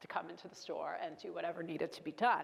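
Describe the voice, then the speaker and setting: This is a woman speaking. She has a Brooklyn accent. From US Northeast, Brooklyn, New York. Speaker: keynote speaker, former corporate executive. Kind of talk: keynote speech.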